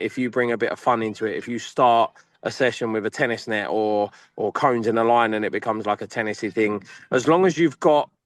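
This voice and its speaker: In a dry, close recording with no echo and a quiet background, a man with an English accent speaks at a medium pitch. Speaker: academy football coach. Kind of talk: panel discussion. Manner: loud; animated.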